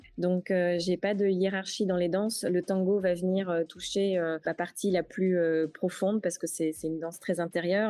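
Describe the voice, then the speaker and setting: At a moderate pace, a woman speaks with a medium pitch and a dark, mellow tone, her intonation monotone and flat, in a dry, close sound with no echo. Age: 40s. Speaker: travel agency founder. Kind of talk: interview. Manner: hesitant, frequent fillers.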